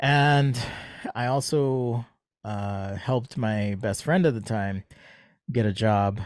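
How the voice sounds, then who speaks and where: Recorded very cleanly against a silent background, the speaker talks at a very slow pace with an American accent, leaving long, frequent pauses. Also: man, medium pitch for a man, ordinary pitch variation. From Jamaica. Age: 40s. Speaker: industrial designer and sketching educator. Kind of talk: casual interview.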